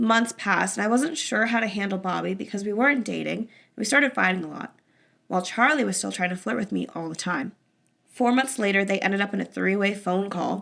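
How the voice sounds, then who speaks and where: A woman's raspy, put-on character voice at medium pitch and a fairly quick pace. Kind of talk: casual podcast story reading. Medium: solo performance. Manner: casual, conversational.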